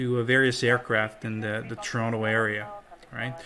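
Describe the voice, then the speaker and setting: At a fairly slow pace, a man talks in a medium-pitched voice. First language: not English. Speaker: airline pilot. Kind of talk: tutorial. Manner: casual.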